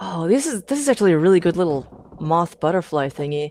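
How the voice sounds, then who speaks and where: A woman mumbles at a fairly quick pace. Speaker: maker livestreamer. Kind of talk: casual livestream chat. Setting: live stream. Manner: mumbling; animated.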